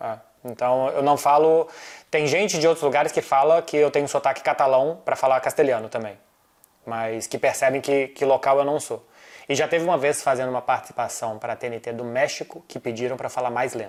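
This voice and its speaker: On a very clean recording with a silent background, a man talks at a fairly quick pace. He has a fairly high pitch and a normal speaking voice. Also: ordinary pitch variation. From Brazil. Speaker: football journalist. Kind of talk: casual chat. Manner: fast.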